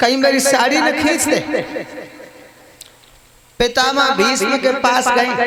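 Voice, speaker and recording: A man uses a raised, projected voice at an extremely high pitch, keeping his loudness very even. His intonation is monotone and flat, and there is noticeable background noise. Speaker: religious storyteller. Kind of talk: devotional katha narration.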